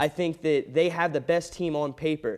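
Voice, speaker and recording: Here is a man with a plain, everyday voice and a fairly high pitch. He talks at a moderate pace. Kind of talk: sports commentary, analyst.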